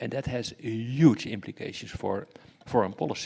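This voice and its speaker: With a Dutch accent, a man speaks at a medium pitch, his voice showing vocal fry. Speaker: security expert and professor. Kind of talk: lecture. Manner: halting, many fillers and repetitions.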